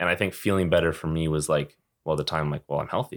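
On a very clean recording with a silent background, a man with a very deep, low pitch speaks at a fairly quick pace with fairly even intonation. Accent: Western Canadian. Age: 20s. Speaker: junior hockey player. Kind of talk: interview.

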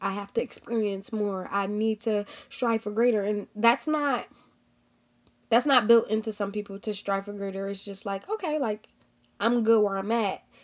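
A woman with a fairly high pitch at a moderate pace, an unremarkable speaking voice. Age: 20s. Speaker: podcast host and professional football player. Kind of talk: solo podcast monologue. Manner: casual, frequent filler words.

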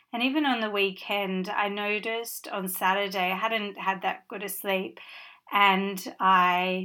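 Speaking at a fairly slow pace, a woman with a bright, sharp tone holds a medium pitch in a flat monotone, the recording very clean with a silent background. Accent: Australian. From Western Australia, Perth. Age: 40s. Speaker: podcast host, author. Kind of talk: casual monologue.

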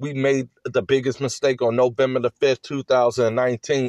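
The man has a medium pitch and an animated tone. The sound is dry and close, with no echo. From rural Virginia. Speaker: political podcaster, candidate. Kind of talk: political rant.

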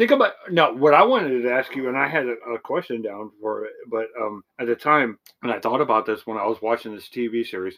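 The voice has a bright, sharp tone, moves at a fairly quick pace and shows ordinary pitch variation. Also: man, medium pitch for a man. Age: 40s. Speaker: podcast co-host. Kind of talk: casual chat.

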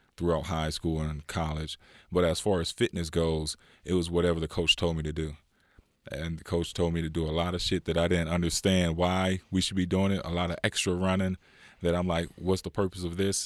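A man with an American accent speaks at a fairly quick pace in a very deep, low voice, flat and monotone. The sound is dry and close with no echo, on a very clean recording with a silent background. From California, Inland Empire. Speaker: former pro basketball player and youth coach. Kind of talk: casual interview.

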